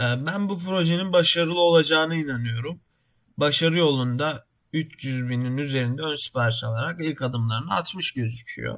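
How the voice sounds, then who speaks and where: This man's voice is fairly high in pitch. He talks at a moderate pace with ordinary pitch variation. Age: 20s. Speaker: YouTuber, computer engineering student. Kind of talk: tutorial. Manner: halting, many filler sounds.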